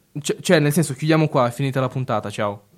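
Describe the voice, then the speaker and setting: A man's pitch rises and falls in a normal way as music plays in the background. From Italy, Italian-speaking region. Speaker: radio host. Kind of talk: radio show presentation. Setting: studio. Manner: halting, hesitant with repetitions.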